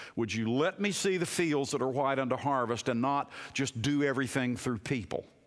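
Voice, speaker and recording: A man with a plain, everyday voice, medium pitch, ordinary pitch variation, very even loudness, a moderate pace and hardly any pauses. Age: 60s. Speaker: pastor. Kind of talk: sermon. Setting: chapel.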